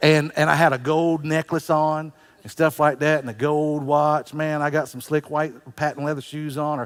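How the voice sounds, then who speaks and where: On a very clean recording with a silent background, a man with a fairly high pitch speaks at a moderate pace in a monotone, flat intonation, with big swings in loudness. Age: 60s. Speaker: pastor. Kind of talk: sermon.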